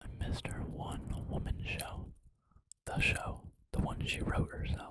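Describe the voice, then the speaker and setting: A fairly slow pace marks this speech. It is delivered in a whisper. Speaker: ASMR content creator. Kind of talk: ASMR narration of a movie script read in first person. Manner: whispered, soft, narrating.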